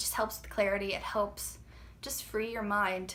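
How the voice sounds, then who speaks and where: A woman's voice with audible room echo. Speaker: fitness trainer and vlogger. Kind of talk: casual vlog talk. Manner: hesitant, filler-heavy.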